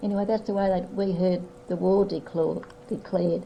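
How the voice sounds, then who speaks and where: Speaking at a moderate pace with an Australian accent, a woman is heard over noticeable background noise. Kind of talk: family history reminiscence.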